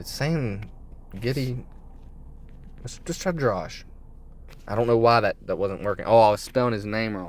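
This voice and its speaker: Loudness rises and falls sharply, pitch varies in an ordinary way, and long pauses come often. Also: man, medium pitch for a man. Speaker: sports betting youtuber. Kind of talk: casual picks commentary. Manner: fast.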